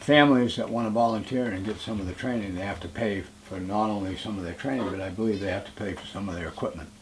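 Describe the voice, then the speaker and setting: A man's fairly low voice amid noticeable background noise and audible room echo. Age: 60s. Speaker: local election candidate. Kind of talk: candidate forum answer. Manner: halting.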